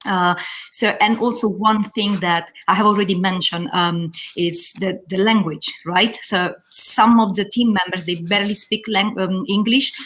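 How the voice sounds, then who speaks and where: A woman with a non-native accent speaks at a moderate pace and a medium pitch. Her intonation is fairly even, and there is noticeable background noise. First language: not English. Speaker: hospitality trainer. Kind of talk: panel discussion.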